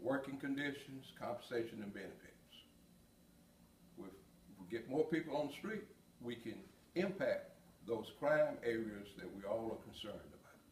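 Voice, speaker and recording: Audible room echo surrounds a man speaking at medium pitch and a moderate pace, somewhat breathy, with lively intonation. His loudness swings widely, and he leaves long, frequent pauses. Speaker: police chief. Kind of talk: prepared address. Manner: hesitant, many fillers. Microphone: no body mic, may be quiet.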